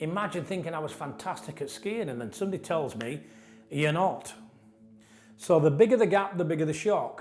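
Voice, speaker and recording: A man with a northern English accent speaks at a fairly quick pace in a high voice, his intonation lively. His loudness swings widely, and the room echo is audible. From northern England. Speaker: trainer and coach. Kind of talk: lecture. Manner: conversational, with repetitions and false starts.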